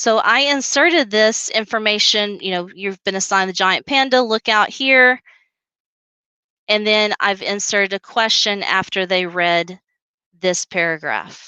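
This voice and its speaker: A woman's bright, sharp voice with a Southern US accent, a fairly slow pace and ordinary pitch variation, in a dry, close sound with no echo. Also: medium pitch for a woman. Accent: Southern drawl. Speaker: teacher trainer. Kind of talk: tutorial. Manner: casual.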